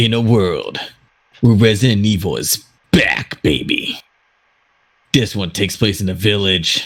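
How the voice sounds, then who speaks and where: Someone performs a put-on character voice, leaving long, frequent pauses. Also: man, fairly low pitch for a man, moderate pace. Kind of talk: dramatic.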